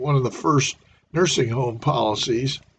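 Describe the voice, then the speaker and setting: Somewhat breathy, a man speaks at medium pitch with an American accent. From US Midwest (Norfolk, Nebraska). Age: 70s. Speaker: retired salesman and business owner. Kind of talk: livestream monologue. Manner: halting, many fillers.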